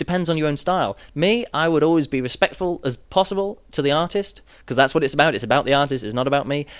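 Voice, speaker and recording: A man speaks with a British accent and lively intonation. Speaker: juggler and show host. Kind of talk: workshop talk. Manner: hesitant with many fillers.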